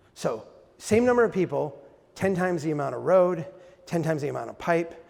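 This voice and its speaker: A high-pitched man's voice with an American accent and audible room echo. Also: ordinary pitch variation, fairly quick pace. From Minnesota. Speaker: nonprofit founder and public speaker. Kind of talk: lecture.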